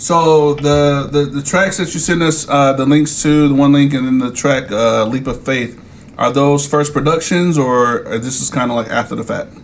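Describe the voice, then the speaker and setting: A man speaks at a moderate pace with hardly any pauses, his pitch fairly high and his intonation fairly even. Noticeable background noise and audible room echo surround his voice. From New Jersey. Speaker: podcast host. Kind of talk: casual chat.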